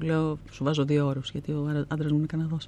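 A woman talks with a very deep, low pitch and a dark, mellow tone. She keeps a moderate pace. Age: 50s. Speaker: actress and theatre director. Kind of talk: interview.

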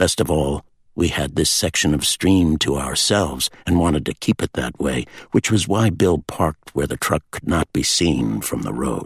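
A man's very deep, low voice with vocal fry at a moderate pace, in a dry, close sound with no echo. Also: ordinary pitch variation. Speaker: audiobook narrator. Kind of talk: audiobook reading of a literary novel. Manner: measured, storytelling pace.

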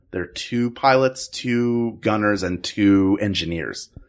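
In an ordinary speaking voice, a man talks with a fairly low pitch. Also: quiet background. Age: 40s. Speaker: improviser and voice actor. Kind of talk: casual chat.

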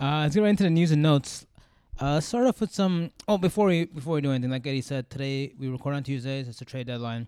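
Talking at a very fast pace, a man with a dark, mellow tone and fairly high pitch shows ordinary pitch variation in a dry, close sound with no echo. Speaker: fantasy football podcast host. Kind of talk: casual chat. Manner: fast talker.

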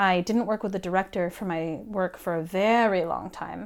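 Against a silent background in a very clean recording, a woman with an unremarkable speaking voice talks at medium pitch and a moderate pace. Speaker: performance artist. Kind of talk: casual chat.

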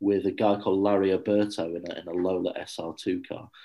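Heard in a very clean recording with a silent background, a man with a very deep, low pitch talks at a fairly slow pace with fairly even intonation. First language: English (speaking Swedish). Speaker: motorsport journalist. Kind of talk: interview.

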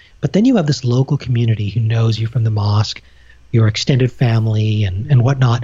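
A man speaks at a fairly quick pace with medium pitch, a dark, mellow and calm tone, a somewhat breathy quality, fairly even intonation and very even loudness. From Canada. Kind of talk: casual interview conversation.

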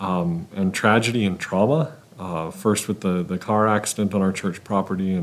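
Lively intonation in a natural reading voice

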